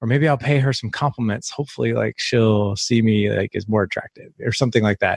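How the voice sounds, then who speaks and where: A man's somewhat breathy, medium-pitched voice at a fairly quick pace, with ordinary pitch variation, hardly any pauses, and a dry, close sound with no echo. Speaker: podcast host and fathers' coach. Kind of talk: interview.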